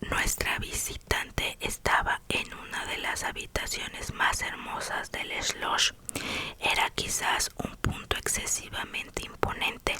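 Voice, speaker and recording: Noticeable background noise runs under a whisper that moves at a very slow pace. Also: woman. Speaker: ASMR creator. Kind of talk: whispered novel reading. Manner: whispered.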